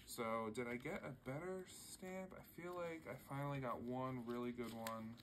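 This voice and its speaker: A man with an American accent speaks at medium pitch with ordinary pitch variation. There is audible room echo. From Philadelphia, US. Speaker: stationery YouTuber. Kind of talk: casual haul video talk. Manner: casual, filler-heavy.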